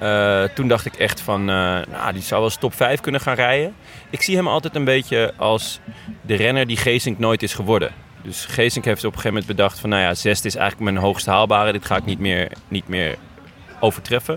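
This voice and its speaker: With music in the background, a man talks fairly quickly in a fairly low voice with ordinary pitch variation. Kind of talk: casual chat. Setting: outdoors.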